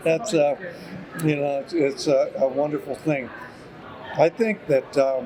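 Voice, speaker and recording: Amid noticeable background noise, a man speaks fairly slowly with long, frequent pauses, in a fairly high voice with ordinary pitch variation. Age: 70s. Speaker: retired horticultural scientist. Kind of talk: interview. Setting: conference. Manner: halting.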